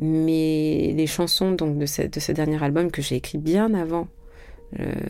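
With music in the background, a woman speaks at a very slow pace with a very deep, low pitch. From France. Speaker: singer-songwriter. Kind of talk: interview.

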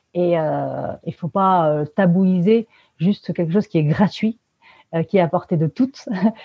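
Fairly low pitch from a woman, with pitch varying in an ordinary way. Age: 30s. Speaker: author and feminist activist. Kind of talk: interview. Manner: hesitant, many fillers.

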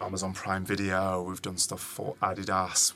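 A man in a British accent speaks at a moderate pace with a very deep, low pitch. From England. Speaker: founder of an events agency. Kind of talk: interview conversation. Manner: halting, with frequent repetitions.

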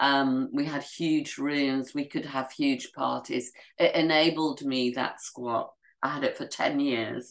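A woman speaks very slowly in a very deep, low voice with monotone, flat intonation. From Yorkshire, northern England. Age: 70s. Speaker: writer and journalist. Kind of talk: interview conversation.

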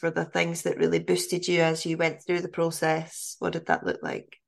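A woman is speaking. The background is quiet. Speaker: podcast host. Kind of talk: casual interview conversation.

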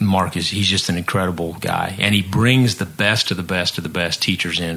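American-accented man, very deep and low in pitch, fairly quick, fairly even intonation, noticeable background noise. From Missouri. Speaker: nonprofit founder, former musician. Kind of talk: casual chat.

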